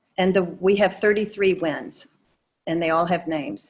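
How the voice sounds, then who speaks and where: A woman with a fairly low pitch, a strong Georgia Southern accent and fairly even intonation. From US South, Atlanta, Georgia. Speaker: painter. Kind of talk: presentation Q&A.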